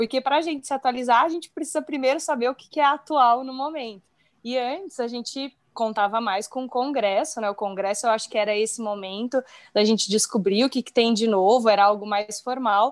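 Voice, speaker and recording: A woman's high voice at a fairly quick pace, with ordinary pitch variation, in a very clean recording with a silent background. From São Paulo, Brazil. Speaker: speech therapist, audiologist. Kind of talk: casual chat.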